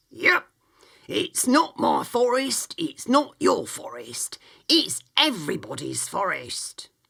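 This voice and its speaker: A raspy, extremely high put-on character voice from a man, at a fairly slow pace. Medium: read story. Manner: blunt, homely, uses dialect grammar.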